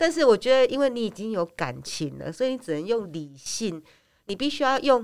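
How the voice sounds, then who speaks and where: A woman with a fairly high pitch talks at a fairly quick pace in an animated tone, her pitch swinging very widely. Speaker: podcast co-host. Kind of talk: casual chat. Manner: animated, laughs often.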